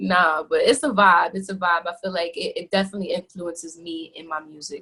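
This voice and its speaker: In a New York accent, the speaker talks at a fairly quick pace in a bright, sharp tone with big swings in loudness. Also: woman, fairly low pitch for a woman. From New York, the Bronx. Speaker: R&B singer. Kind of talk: interview. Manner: animated.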